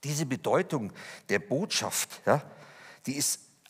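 A man speaks with vocal fry at a fairly high pitch and a fairly slow pace. The background is quiet. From Lower Bavaria, Germany; Bavaria, Germany. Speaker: speaker giving personal testimony; speaker. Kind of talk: testimony talk. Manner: animated. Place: church.

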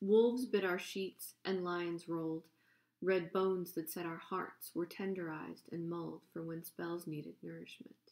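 Against a quiet background, a woman talks at a moderate pace. Her pitch is fairly low and her intonation fairly even. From Upper Peninsula of Michigan, USA. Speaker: poet. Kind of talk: poetry reading. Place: home room. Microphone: webcam.

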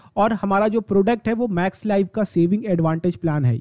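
A man with a high voice speaks at a moderate pace, his tone dark and mellow, his pitch varying in an ordinary way, in a dry, close sound with no echo. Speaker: insurance advisor and YouTuber. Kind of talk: tutorial.

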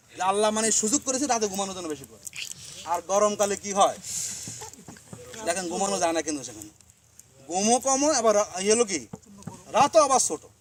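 A man's high-pitched voice with lively intonation and big swings in loudness, against noticeable background noise. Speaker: student organization leader. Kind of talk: speech to members. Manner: conversational.

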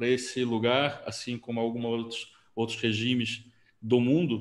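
A man speaks at a fairly slow pace. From Brazil, Rio de Janeiro. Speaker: interviewer, event host. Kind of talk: interview. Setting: video call. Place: home room. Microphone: video call.

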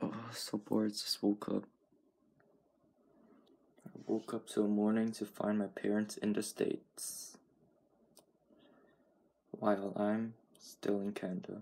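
A man speaks at a fairly slow pace in a fairly low pitch with a dark, mellow tone. His intonation is monotone and flat, broken by long, frequent pauses. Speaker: vlogger. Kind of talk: casual vlog chat. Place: home room. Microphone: phone near.

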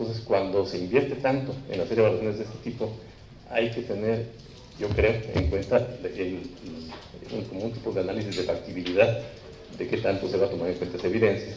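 Speaking very fast at a fairly low pitch with ordinary pitch variation, a man is heard with audible room echo and faint music in the background. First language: Spanish. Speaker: seminar panelist; panelist. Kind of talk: panel discussion. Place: meeting room. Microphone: handheld.

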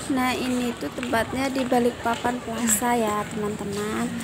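Loud background noise runs behind the recording. A woman talks at a fairly slow pace. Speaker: amateur vlogger. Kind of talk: casual vlog chat. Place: street.

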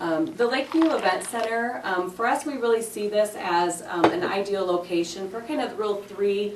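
Amid audible room echo and noticeable background noise, a woman talks with lively intonation. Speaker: community presenter. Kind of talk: public presentation at council meeting. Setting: city council meeting. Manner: many filler ums.

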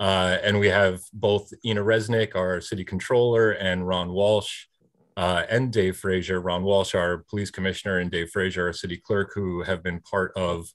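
Over a quiet background, a man speaks at a moderate pace in a very deep, low pitch with monotone, flat intonation. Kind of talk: meeting presentation introduction. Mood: formal, calm. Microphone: video call.

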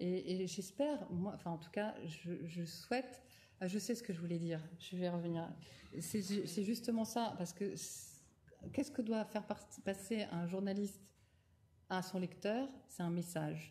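A woman's somewhat breathy, dark, mellow tone at a fairly slow pace, with ordinary pitch variation and long, frequent pauses. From France, Nouvelle-Aquitaine (Rochefort); Nouvelle-Aquitaine, France. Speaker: wine journalist and winemaker; wine journalist. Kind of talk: lecture. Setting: lecture hall with audience. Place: hall. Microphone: podium.

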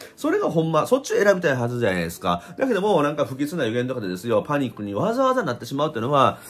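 A man's fairly high, animated voice with very wide pitch swings at a very fast pace. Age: 50s. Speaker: spiritual YouTuber and blogger; spiritual YouTuber, blogger. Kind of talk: casual vlog monologue. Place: home room. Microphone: phone near.

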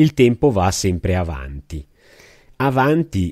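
Recorded dry and close with no echo against a silent background, a man with a dark, mellow tone swings his pitch very widely. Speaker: podcast co-host. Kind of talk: casual chat.

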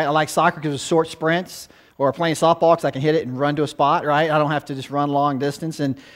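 Against a quiet background, a man rattles along at a very fast pace with monotone, flat intonation. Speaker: guest preacher, former youth pastor. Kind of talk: sermon. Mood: warm, conversational, light humor. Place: church.

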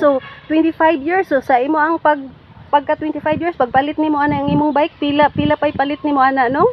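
A woman's high-pitched, monotone voice at a very fast pace, dry with no echo, amid noticeable background noise. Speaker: vlogger interviewer. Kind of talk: casual vlog interview questions. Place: garden. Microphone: phone near.

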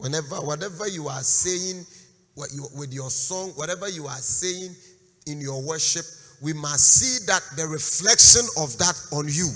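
A man speaks at a moderate pace against a quiet background. His loudness swings a lot, while his pitch varies in an ordinary way. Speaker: guest preacher. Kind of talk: sermon. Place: church. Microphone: handheld.

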